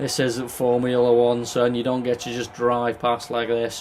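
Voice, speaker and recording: Over noticeable background noise, a man talks very slowly at a medium pitch. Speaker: gaming commentator. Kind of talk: gameplay commentary. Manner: animated.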